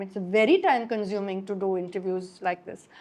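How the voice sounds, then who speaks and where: Speaking with a Gujarati accent, a woman keeps a fairly quick pace. Her pitch variation is ordinary. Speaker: writer and journalist. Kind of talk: public talk conversation.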